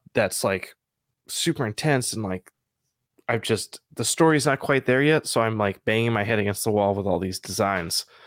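A man's plain, everyday voice at a medium pitch and moderate pace, with ordinary pitch variation and a dry, close sound with no echo on a very clean recording with a silent background. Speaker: comic book artist. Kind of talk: casual chat.

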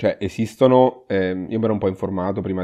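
A man's voice, pitched very deep and low, comes at a moderate pace. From Umbria, Italy (Perugia). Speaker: emergency physician. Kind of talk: interview. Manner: halting, repeats words.

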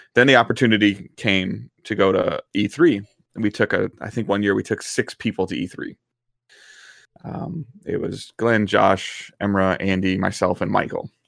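Vocal fry runs through this voice with a Midwestern American accent. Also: man, ordinary pitch variation, moderate pace. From US Midwest, Detroit area. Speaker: gaming content creator. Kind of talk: casual chat. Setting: live stream.

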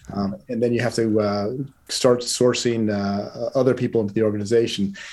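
Using fairly even intonation, a man at a medium pitch talks at a moderate pace. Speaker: market research firm founder. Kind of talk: casual interview. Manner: hesitant, filler words.

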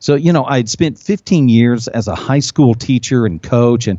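A man with an ordinary speaking voice at medium pitch. He talks at a fairly slow pace with lively intonation. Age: 50s. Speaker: business consultant and speaker. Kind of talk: interview. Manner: many fillers and repetitions.

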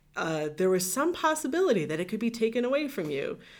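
A woman with a Midwestern American accent, at a fairly quick pace and with lively intonation. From US Midwest, Northeast Ohio. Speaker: podcast guest. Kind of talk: casual chat.

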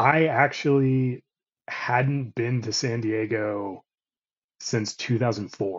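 At a medium pitch with ordinary pitch variation, a man talks in an ordinary speaking voice. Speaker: comic artist and illustrator. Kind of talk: casual chat.

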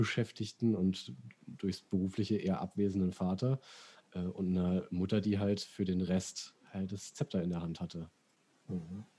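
In a very clean recording with a silent background, a man speaks at a moderate pace with a very deep, low pitch and a dark, mellow tone. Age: 30s. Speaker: podcast host. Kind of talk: casual chat.

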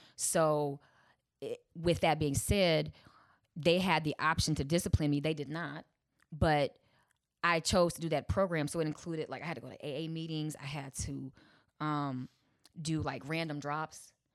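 In a very clean recording with a silent background, a woman with an American accent and a very deep, low voice talks at a moderate pace with fairly even intonation and long, frequent pauses. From Chicago. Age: 40s. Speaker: comedian and lawyer. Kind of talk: casual chat.

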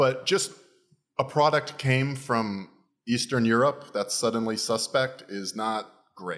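A man with a medium pitch talks at a fairly slow pace in an animated tone, with ordinary pitch variation. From Florida, US. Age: 30s. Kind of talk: casual comedic banter. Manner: joking, animated.

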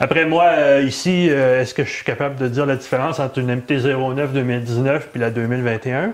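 With a Quebec accent, a man speaks at a very slow pace in a medium pitch. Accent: Québécois French. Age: 50s. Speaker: motorcycle podcast co-host. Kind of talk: casual chat. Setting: studio.

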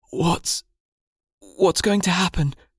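This put-on character voice is raspy and sits at a middle pitch. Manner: weak, pained.

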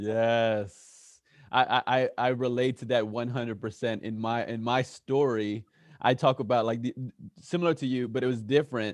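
Against a quiet background, a man talks in a normal speaking voice at a moderate pace and medium pitch. His intonation is fairly even while his loudness swings widely. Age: 30s. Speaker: podcast host. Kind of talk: interview. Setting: studio.

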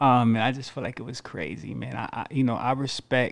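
A normal speaking voice with an American accent talks at a moderate pace and fairly even intonation on a very clean recording with a silent background. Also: man. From US Northeast, Syracuse, New York. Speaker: podcast co-host. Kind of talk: casual chat.

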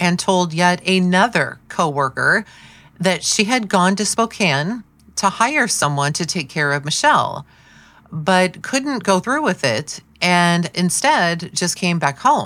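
Speaking at a fairly slow pace, a woman uses a normal speaking voice at a medium pitch. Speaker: true crime podcaster. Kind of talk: true-crime narration, read in a steady storytelling style. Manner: measured and serious, even storyteller pacing; warm and friendly in the sign-off.

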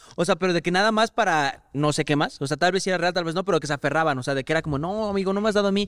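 On a very clean recording with a silent background and a dry, close sound with no echo, a man talks very fast with hardly any pauses, at high pitch with ordinary pitch variation. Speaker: video editor. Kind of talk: casual chat.

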